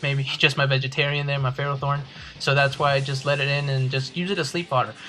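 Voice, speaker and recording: A man with a non-native accent and fairly high pitch, speaking very fast amid noticeable background noise. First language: not English. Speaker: video game commentator. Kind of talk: gameplay commentary. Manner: halting; casual.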